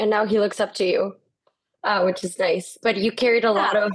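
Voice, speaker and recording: A moderate pace and monotone, flat intonation, with a Spanish accent. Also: woman. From Guatemala. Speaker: podcast co-host. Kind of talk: casual interview.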